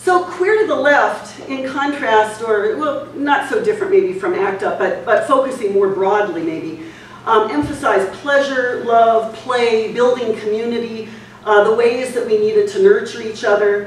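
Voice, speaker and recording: A woman with an American accent talks at a moderate pace in a fairly high pitch, her pitch swinging very widely. Audible room echo and light background noise are present. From California (Hayward); California. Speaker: academic lecturer. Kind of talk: lecture. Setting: museum talk with live audience. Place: hall. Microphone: camera far.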